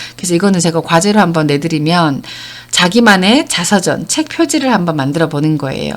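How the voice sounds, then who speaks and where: A fairly quick pace and ordinary pitch variation, set against noticeable background noise. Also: woman, fairly low pitch for a woman. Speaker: counseling center director and lecturer. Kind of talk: online lecture.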